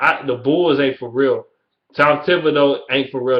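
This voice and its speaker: The tone is animated. The speaker talks with a Detroit accent. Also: man. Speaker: sports vlogger. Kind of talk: casual rant.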